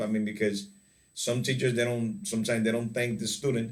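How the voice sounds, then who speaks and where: A man's voice with audible room echo. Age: 40s. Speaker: English teacher. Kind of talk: online class lesson.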